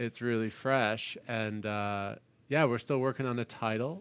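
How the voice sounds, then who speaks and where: A man with a normal speaking voice talks at a medium pitch and a fairly slow pace, his intonation fairly even. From New York. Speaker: podcast host and musician. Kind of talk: casual interview chat. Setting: video call.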